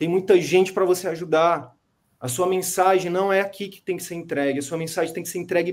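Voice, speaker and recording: The voice shows big swings in loudness on a very clean recording with a silent background. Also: man, high pitch for a man, fairly quick pace. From Brazil, interior of Piauí. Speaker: medical business coach. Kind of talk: coaching session. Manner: animated.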